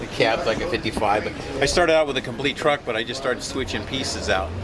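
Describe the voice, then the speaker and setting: Over music in the background, a man with a medium pitch talks at a very fast pace with lively intonation. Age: 70s. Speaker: classic car builder. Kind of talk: casual chat.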